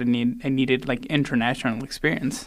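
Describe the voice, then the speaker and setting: With a Spanish accent, a man speaks at medium pitch in a monotone, flat delivery on a very clean recording with a silent background. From Argentina (raised in Salta). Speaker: pastry chef and ultrarunner. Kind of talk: casual interview. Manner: casual.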